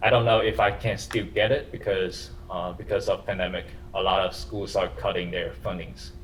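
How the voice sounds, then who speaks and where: A man speaks at a moderate pace, with audible echo in the room. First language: not English. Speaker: university lecturer. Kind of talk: lecture. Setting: classroom with camera for online students. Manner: halting.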